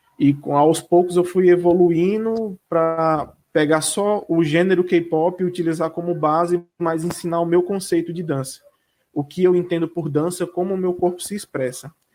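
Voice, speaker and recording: A northeastern Brazilian accent at a moderate pace on a very clean recording with a silent background. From Northeast Brazil, Cariri region (Ceará). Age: 30s. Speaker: dance teacher and choreographer. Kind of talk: interview.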